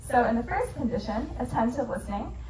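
Words pour out extremely fast from a woman, with clear noise going on around her. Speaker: presenter. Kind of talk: lecture. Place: bar.

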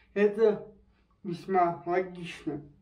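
A man speaks at a high pitch, with audible echo in the room. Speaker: travel video host. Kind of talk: casual interview talk. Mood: relaxed, friendly. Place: home room. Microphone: camera far.

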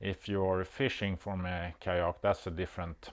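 The background is quiet. A man speaks in a very deep, low voice. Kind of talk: tutorial. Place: workshop.

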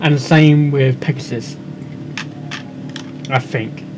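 Over clear background noise, a man speaks slowly at medium pitch with fairly even intonation.

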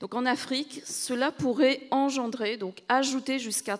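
Against a quiet background, the woman's pitch varies in an ordinary way. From Madagascar. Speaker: tech company director; panelist. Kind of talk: panel discussion. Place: stage. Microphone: handheld.

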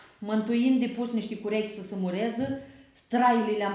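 A woman at a fairly slow pace, with audible echo in the room. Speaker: reader of a dialect text. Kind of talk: reading aloud a humorous regional dialect monologue. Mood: playful, humorous storytelling. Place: meeting room.

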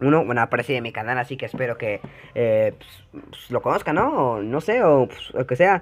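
With a Mexican accent, a man speaks fairly quickly at a medium pitch, his intonation lively and his loudness swinging widely. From Mexico (Yucatán). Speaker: gaming youtuber. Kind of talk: casual reaction commentary. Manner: animated; halting, many fillers.

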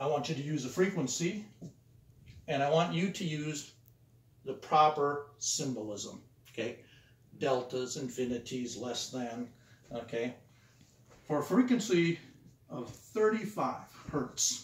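A man's fairly slow, lively-intoned speech with long, frequent pauses and audible room echo. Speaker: teacher. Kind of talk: lecture. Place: classroom.

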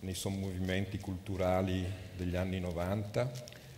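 Somewhat breathy, a man talks at a fairly slow pace. His pitch is fairly low, with light background noise behind him. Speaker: event presenter and translator. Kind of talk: onstage interview. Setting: stage with audience. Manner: halting. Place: hall. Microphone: headset.

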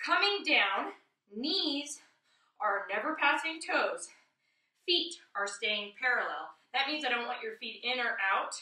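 Projecting her voice in a bright, sharp tone, a woman speaks at a fairly slow pace against a quiet background with audible room echo. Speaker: fitness instructor. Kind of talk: tutorial. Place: home room. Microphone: camera far.

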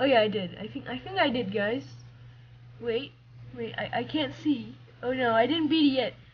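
A woman at a moderate pace over light background noise. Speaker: gamer. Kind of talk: casual gameplay commentary.

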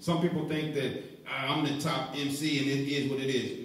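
A man talks with a fairly high pitch. Room echo is audible. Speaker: radio host. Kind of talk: live radio show. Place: studio.

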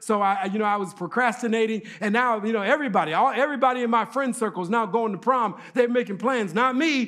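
A man's bright, sharp voice at a very fast pace. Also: quiet background. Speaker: preacher or guest speaker. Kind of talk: sermon. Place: church.

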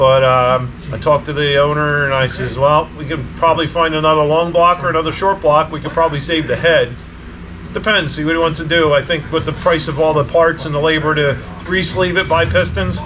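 Through noticeable background noise, a man talks at a fairly quick pace with fairly even intonation. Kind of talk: casual vlog chat. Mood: relaxed, matter-of-fact. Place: garage.

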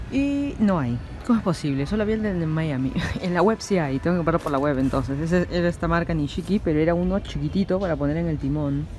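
The voice moves at a fairly quick pace with hardly any pauses, in a dry sound with no echo and light background noise. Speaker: vlogger. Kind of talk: casual vlog chat. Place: shop. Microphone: phone near.

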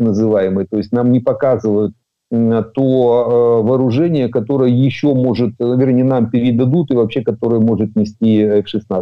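A man with an unremarkable speaking voice, medium pitch and a fairly slow pace. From Ukraine. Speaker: military expert, retired colonel. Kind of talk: news interview analysis.

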